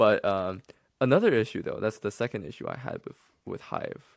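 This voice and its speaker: A man's very fast speech in a Chinese accent, on a very clean recording with a silent background. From mainland China. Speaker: podcast co-host, app developer. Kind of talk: casual podcast chat. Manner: halting, many fillers.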